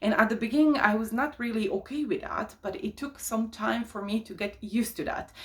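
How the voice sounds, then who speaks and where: Her intonation is lively and her pitch fairly high for a woman. She sounds somewhat breathy. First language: not English. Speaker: life coach, YouTuber. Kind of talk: casual monologue to camera. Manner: hesitant, many fillers.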